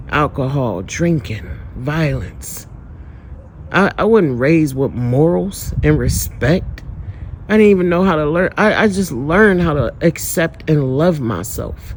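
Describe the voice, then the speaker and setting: A man's fairly high, animated voice at a fairly slow pace, with lively intonation over noticeable background noise. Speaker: spiritual vlogger. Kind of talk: personal testimony.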